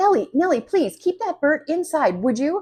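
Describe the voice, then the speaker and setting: A woman shouts in a put-on character voice at extremely high pitch, squeaky and shrill. Her pitch swings very widely. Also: moderate pace. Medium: read story. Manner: shrill, screaming.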